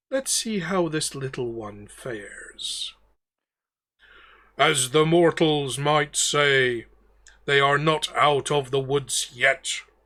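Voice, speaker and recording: Putting on a character voice, a man talks at a very slow pace in a fairly high pitch, with long, frequent pauses. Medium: actual play.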